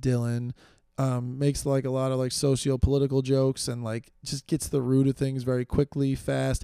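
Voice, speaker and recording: This man has an American accent and a dark, mellow tone at medium pitch. He talks at a moderate pace with monotone, flat intonation. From New York. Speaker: podcast host and stand-up comedian. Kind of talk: solo casual monologue. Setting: home recording with video.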